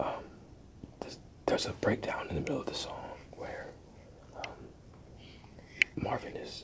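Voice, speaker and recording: Whispering in a relaxed tone at a fairly slow pace, a man is heard over noticeable background noise. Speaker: ASMR content creator. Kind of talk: ASMR album review, whispered. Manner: whispered, relaxed, hesitant with frequent filler words.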